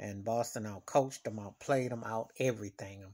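The background is quiet as a man talks. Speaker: sports fan vlogger. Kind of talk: casual vlog commentary. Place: home room. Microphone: phone near.

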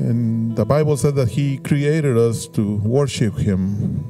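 A man talks at a very slow pace while faint music sounds in the background. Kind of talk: church welcome and worship lead-in. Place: church. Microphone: handheld.

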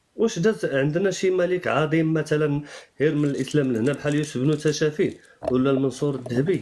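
With an ordinary speaking voice, a man talks at a fairly quick pace and a fairly high pitch, with ordinary pitch variation and very even loudness. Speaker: Amazigh activist. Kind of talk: casual discussion.

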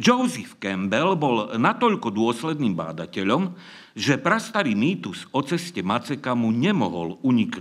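Vocal fry at a fairly slow pace over a quiet background. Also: man. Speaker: conference speaker. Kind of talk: lecture. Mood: dry mock-serious humour. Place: stage. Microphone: podium.

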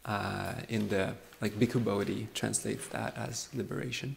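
This man talks with a French accent at a fairly slow pace, his pitch varying in an ordinary way. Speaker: Buddhist monk and meditation teacher. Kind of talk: dharma talk. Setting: meditation retreat with live audience. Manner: relaxed, frequent fillers and laughs.

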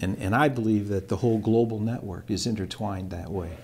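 This man has a fairly low pitch and a normal speaking voice. His intonation stays fairly even. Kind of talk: interview answer. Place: office.

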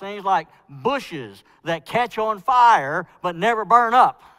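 A man talks very slowly, and the background stays quiet. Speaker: preacher. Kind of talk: sermon. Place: church.

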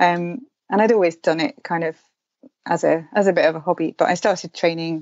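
This woman has a fairly low pitch. She talks with a southern English accent. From southern England, London and Herefordshire. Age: 40s. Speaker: outdoor writer and runner. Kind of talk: casual interview.

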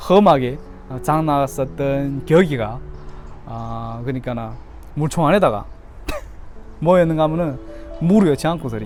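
Music plays in the background as a speaker with a Yanbian accent talks at a moderate pace, leaving long, frequent pauses. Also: man. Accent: Yanbian Korean dialect. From Korean-Chinese from Yanbian, China. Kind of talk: casual talk to camera.

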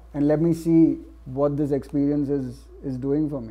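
A man with a Gujarati accent at a moderate pace, his intonation fairly even. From India. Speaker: playwright and novelist. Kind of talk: panel discussion. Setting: stage with live audience. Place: stage.

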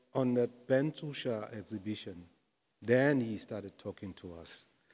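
With a South African accent, a man talks at a fairly slow pace, his medium pitch moving with ordinary variation. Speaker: jazz pianist and music lecturer; music lecturer. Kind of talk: casual interview. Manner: halting, many fillers. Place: studio. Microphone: handheld.

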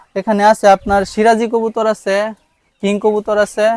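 A high-pitched man's voice with a dry, close sound and no echo. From Bangladesh, Mymensingh. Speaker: shopkeeper and small poultry farmer. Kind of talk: interview answers.

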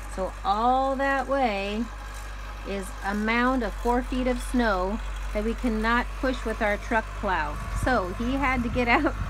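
This woman's speech is very slow, with noticeable background noise behind it. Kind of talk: casual narration. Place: open country. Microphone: phone near.

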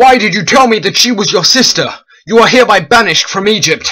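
A high male voice at a very fast pace, its pitch varying in an ordinary way. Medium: read story. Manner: imperious.

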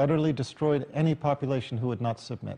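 Here a man speaks at a fairly high pitch with a dark, mellow tone. His voice is somewhat breathy. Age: 50s. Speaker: tv show host and author; tv show host. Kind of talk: talk-show monologue. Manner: formal. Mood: calm, measured. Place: studio. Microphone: lapel.

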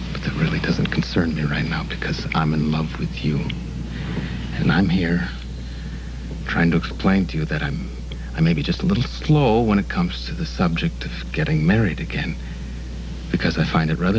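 Over noticeable background noise, a man with a very deep, low voice talks at a moderate pace, leaving long, frequent pauses. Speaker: soap opera actor. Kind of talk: scripted drama dialogue. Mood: earnest, confessional, soft.

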